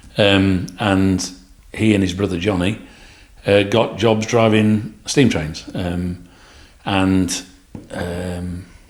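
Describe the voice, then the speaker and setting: A very slow delivery in an East Midlands accent, fairly even in intonation, with long, frequent pauses and audible room echo. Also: man, very deep, low pitch for a man. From England, Nottingham. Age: 60s. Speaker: retired businessman and farmer. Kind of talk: casual chat.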